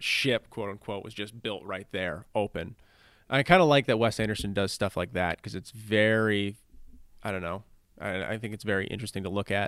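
On a very clean recording with a silent background, a man with a plain, everyday voice speaks at a fairly low pitch, a moderate pace and with fairly even intonation. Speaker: podcast host. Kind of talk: casual comedy banter. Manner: joking, interrupting.

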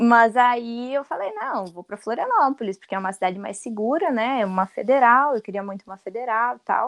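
Her fairly high pitch and ordinary pitch variation come through dry and close with no echo as a woman speaks at a fairly quick pace with hardly any pauses. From Rio Grande do Sul. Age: 20s. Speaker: designer and content creator. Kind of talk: casual chat. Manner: talkative.

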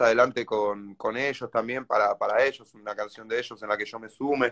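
In a dry, close sound with no echo and a quiet background, a man talks at a moderate pace with a medium pitch and monotone, flat intonation. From Argentina, La Matanza (Greater Buenos Aires). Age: 20s. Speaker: rapper and singer. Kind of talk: interview. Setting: video call.

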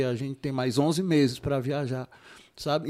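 The man's voice has a dark, mellow tone. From Ceará, Brazil (Juazeiro do Norte, Cariri). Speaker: theatre producer. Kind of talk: casual interview.

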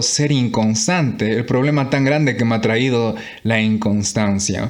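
Fairly slow speech from a man, audible echo of the room around it. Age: 20s. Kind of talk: devotional monologue. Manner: halting.

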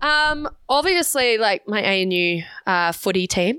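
This woman has a medium-pitched, bright and sharp voice with lively intonation, recorded very cleanly against a silent background. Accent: strong Australian. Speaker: content creator and real estate agent. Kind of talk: casual interview chat.

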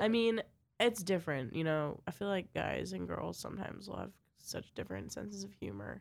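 Vocal fry at a fairly quick pace, with very wide pitch swings and big swings in loudness. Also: woman, very deep, low pitch for a woman. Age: 20s. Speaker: podcast co-host. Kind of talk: casual chat.

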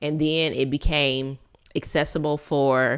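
Very deep and low, this woman's voice moves at a fairly slow pace. The recording is very clean, with a silent background. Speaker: podcast host. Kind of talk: solo inspirational monologue.

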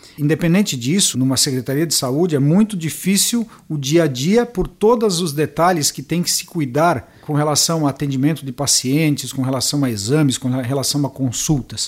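This man talks at a moderate pace with lively intonation and hardly any pauses. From western Santa Catarina, Brazil. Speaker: municipal health director and pharmacist. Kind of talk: interview.

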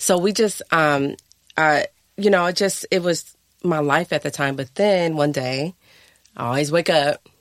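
With an American accent, a woman with a very deep, low voice and ordinary pitch variation speaks at a fairly slow pace, taking long, frequent pauses. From Akron, Ohio, US Midwest. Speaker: entrepreneur and yoga instructor. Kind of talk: casual interview.

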